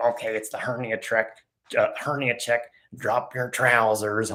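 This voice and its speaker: A man puts on a croaky character voice at medium pitch. He keeps a moderate pace with monotone, flat intonation. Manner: creepy.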